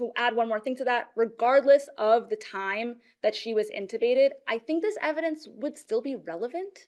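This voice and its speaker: The woman's pitch is high. Her intonation is lively. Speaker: defense lawyer. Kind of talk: appellate oral argument. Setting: courtroom. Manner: fast; many filler ums.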